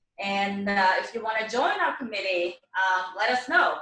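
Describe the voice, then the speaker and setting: Talking at a fairly slow pace with a Swedish accent, a woman with a fairly high pitch shows ordinary pitch variation. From Sweden. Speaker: event organizer. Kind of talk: closing remarks at virtual panel.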